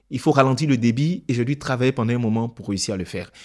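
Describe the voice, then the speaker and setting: Talking at a fairly quick pace, a man keeps to a medium pitch. The recording is very clean, with a silent background. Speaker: public speaking coach. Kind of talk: tutorial. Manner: clear diction.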